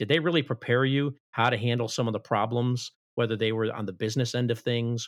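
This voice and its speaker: In an American accent, a man talks at a very fast pace with a medium pitch and fairly even intonation, the sound dry and close with no echo. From Chicago, US Midwest. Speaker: ministry director and Marine veteran. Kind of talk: interview conversation.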